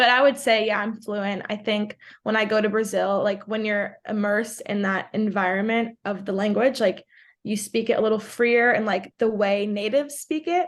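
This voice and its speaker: A woman with a New York accent talks at a moderate pace in a fairly high pitch with ordinary pitch variation, over a quiet background. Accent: New York American. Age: 20s. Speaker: college soccer player and content creator. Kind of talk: podcast interview. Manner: casual, filler-heavy (like, um).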